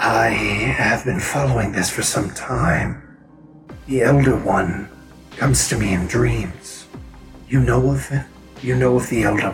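A man puts on a character voice with a fairly low pitch and very wide pitch swings. Clear music plays in the background. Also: fairly slow pace. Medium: actual play. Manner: formal, courteous.

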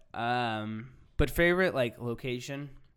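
A man's medium-pitched voice rises and falls with lively intonation. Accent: American. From Orange County, California. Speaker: podcast host. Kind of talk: casual chat.

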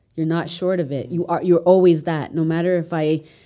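A woman speaks with a Toronto accent. Her tone is dark and mellow. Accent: Canadian (Toronto area). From Mississauga, Ontario, Canada. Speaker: social entrepreneur and podcast host. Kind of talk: casual chat.

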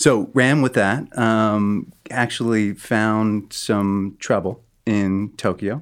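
With an American accent and fairly even intonation, a man speaks at a fairly low pitch in a normal speaking voice. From US Northeast (Connecticut). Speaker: addiction treatment program founder, therapist. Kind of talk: interview. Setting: studio.

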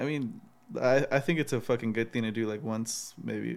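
A man with a plain, everyday voice speaks at a moderate pace and medium pitch. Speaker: podcast host. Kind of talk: casual banter podcast chat.

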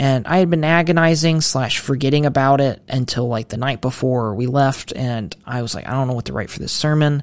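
On a very clean recording with a silent background, a man with an American accent and a plain, everyday voice speaks at a medium pitch and a fairly quick pace, with ordinary pitch variation. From Ohio, Mansfield. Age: 20s. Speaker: seminary student. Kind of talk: casual interview chat.

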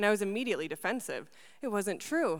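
On a very clean recording with a silent background, a woman in an Upper Midwest accent talks at a very fast pace with lively intonation. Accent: Upper Midwest American. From Wisconsin, moved from Argentina at seven. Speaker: university student care manager. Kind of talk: spoken word testimony. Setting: stage with audience.

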